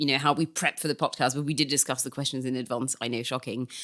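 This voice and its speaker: A woman talks very fast on a very clean recording with a silent background. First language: not English. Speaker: journalist and podcast co-host. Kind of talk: casual chat.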